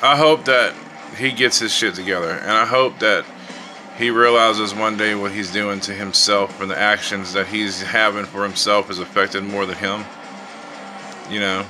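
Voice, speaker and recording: A man talks at a moderate pace and a fairly low pitch. His intonation is fairly even, with faint music in the background. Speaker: vlogger. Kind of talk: casual vlog chat. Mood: fed up, annoyed. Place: home room. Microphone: phone near.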